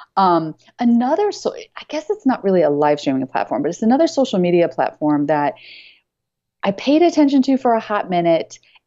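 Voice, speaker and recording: Her pitch swinging very widely, a woman speaks at a fairly quick pace in a dark, mellow tone against a quiet background. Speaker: business coach and author. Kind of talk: casual chat. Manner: fast.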